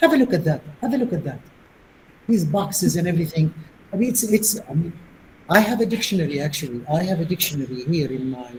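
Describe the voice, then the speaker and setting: A man with a Tunisian accent, high pitch, lively intonation and a very fast pace. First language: Tunisian Arabic. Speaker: linguistics professor, plenary speaker. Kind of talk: academic Q&A discussion.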